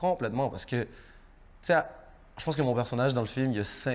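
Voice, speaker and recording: A man with ordinary pitch variation, on a very clean recording with a silent background. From Haiti. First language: Haitian Creole (speaking French). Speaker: actor. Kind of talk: interview. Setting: studio. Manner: halting, repeats words.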